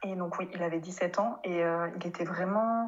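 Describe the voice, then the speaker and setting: This woman speaks at a fairly slow pace in a medium pitch. Her intonation is monotone and flat. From France. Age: 30s. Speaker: speech therapist. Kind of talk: interview. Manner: hesitant, many fillers.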